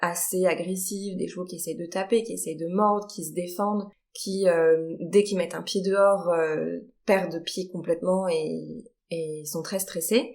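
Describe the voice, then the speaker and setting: Heard at a fairly slow pace, this is a normal speaking voice with ordinary pitch variation. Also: woman. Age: 30s. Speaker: horse trainer. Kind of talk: podcast interview.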